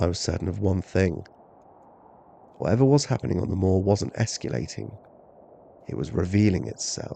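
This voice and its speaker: Vocal fry runs through a man's dark, mellow voice. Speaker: horror story narrator. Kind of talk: slow-burn sleep story narration. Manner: calm, natural.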